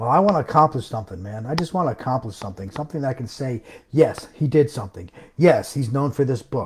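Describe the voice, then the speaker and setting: Very fast and somewhat breathy, a man speaks with lively intonation. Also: medium pitch for a man, big swings in loudness. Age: 60s. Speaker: self-published author and home business promoter. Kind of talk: live stream rant. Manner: animated; emphatic.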